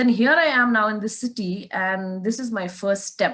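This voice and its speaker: A woman with a northeastern Indian accent speaks at a fairly high pitch with lively intonation. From Meghalaya, India (Shillong, Khasi). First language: Khasi. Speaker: race car driver. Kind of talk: interview.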